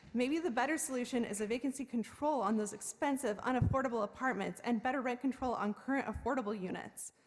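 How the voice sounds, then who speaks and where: Over noticeable background noise, a woman with an American accent talks very fast at a high pitch with ordinary pitch variation. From South Bay, California. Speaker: tenant, public commenter. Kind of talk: public comment at council meeting.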